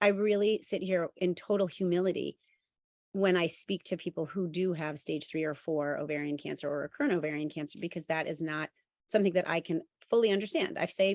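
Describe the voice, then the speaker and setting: Very fast speech comes from a woman with a fairly low pitch and ordinary pitch variation. The sound is dry and close with no echo. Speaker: obstetrician-gynecologist and ovarian cancer survivor. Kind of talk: talk to a support group.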